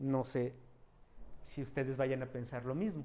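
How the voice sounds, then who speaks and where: A man is speaking. His intonation is lively. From Mexico. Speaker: physics education professor. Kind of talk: lecture. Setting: auditorium with live audience and video call. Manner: halting. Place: classroom. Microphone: handheld.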